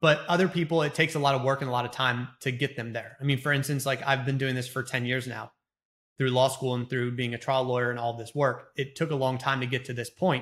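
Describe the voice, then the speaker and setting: On a very clean recording with a silent background, a man talks very fast at a medium pitch with fairly even intonation. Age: 30s. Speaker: trial lawyer and speaking coach. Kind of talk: interview.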